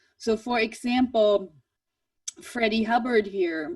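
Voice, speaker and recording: A woman speaks with a German accent. Her pitch sits fairly high. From Germany, Swabia. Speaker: jazz professor. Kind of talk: online presentation. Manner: halting, many repeated words.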